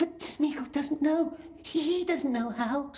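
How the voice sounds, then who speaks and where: Someone uses a put-on character voice with high pitch at a fairly slow pace. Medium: video game. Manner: speaks of himself as we and in third person; wheedling, servile.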